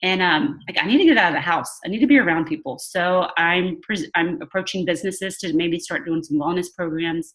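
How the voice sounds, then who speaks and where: With a Southern US accent, a woman speaks at a fairly quick pace with hardly any pauses. Her pitch is fairly low with ordinary variation. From Louisiana. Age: 40s. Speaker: wellness business coach. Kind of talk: video call interview. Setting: video call. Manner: casual, filler-heavy.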